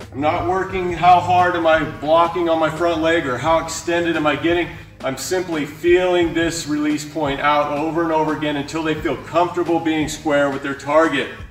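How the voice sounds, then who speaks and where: A man in monotone, flat intonation at a moderate pace with hardly any pauses, amid light background noise and audible room echo. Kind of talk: tutorial. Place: gym. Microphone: camera far.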